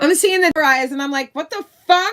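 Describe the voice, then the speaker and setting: On a very clean recording with a silent background, a woman with an American accent uses a raised, projected voice with a bright, sharp, animated tone and very wide pitch swings. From Miami, Florida. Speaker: live-stream commentator. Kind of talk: political rant on live stream. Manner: loud, boisterous.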